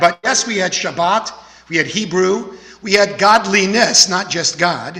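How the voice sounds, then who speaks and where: A man with an American accent speaks in a raised, projected voice, high in pitch and fairly slow. His intonation is fairly even, and there is noticeable background noise. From Texas, Houston. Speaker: rabbi. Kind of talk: sermon.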